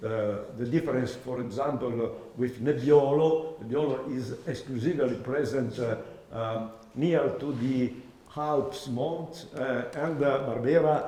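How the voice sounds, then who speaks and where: Over noticeable background noise and audible room echo, a man talks at medium pitch and a moderate pace with ordinary pitch variation. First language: Italian. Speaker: oenology professor. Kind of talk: lecture. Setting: masterclass with audience. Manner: halting.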